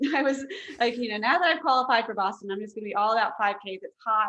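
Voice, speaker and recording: A woman's normal speaking voice with an American accent, fairly high in pitch, with lively intonation. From Fairfax County, Virginia. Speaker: author, marathon runner. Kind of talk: casual interview chat.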